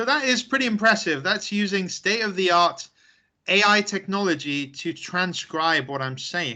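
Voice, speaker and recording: Over a quiet background, a man with a high pitch raises and projects his voice at a moderate pace, his tone bright, sharp and animated and his intonation lively. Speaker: tech trainer. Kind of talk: webinar presentation.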